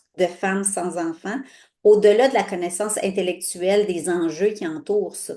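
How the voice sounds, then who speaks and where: This voice has a dark, mellow tone. Its pitch moves up and down in a normal way. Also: woman. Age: 60s. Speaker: sexologist. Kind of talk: casual interview chat. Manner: halting, many fillers.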